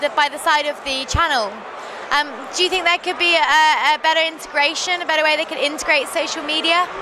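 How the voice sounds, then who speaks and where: A woman's raised, projected voice, extremely high in pitch, fairly even in intonation and fairly quick in pace, over noticeable background noise. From Devon, England. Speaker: tech blogger interviewer. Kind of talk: interview. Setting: industry conference.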